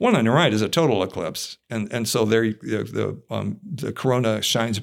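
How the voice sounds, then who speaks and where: Speaking fairly quickly with an American accent, a man uses lively intonation at a medium pitch, with vocal fry in his voice. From Ohio, US. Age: 60s. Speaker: physics and astronomy professor. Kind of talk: casual interview. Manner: hesitant with many fillers.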